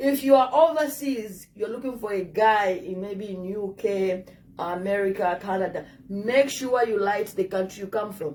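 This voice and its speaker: Moderate pace in an African accent, with ordinary pitch variation and big swings in loudness. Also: woman, medium pitch for a woman. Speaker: dating advice vlogger. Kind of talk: casual advice talk to camera.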